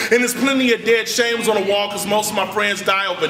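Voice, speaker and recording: Over noticeable background noise and audible room echo, a high-pitched man uses a raised, projected voice with an animated tone. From Richmond, California. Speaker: spoken word poet. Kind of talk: spoken word poetry performance.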